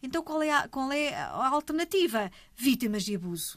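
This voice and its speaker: The recording is very clean, with a silent background. A woman with a European Portuguese accent speaks in a high voice with a bright, sharp tone. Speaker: language teacher. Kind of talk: radio language explainer.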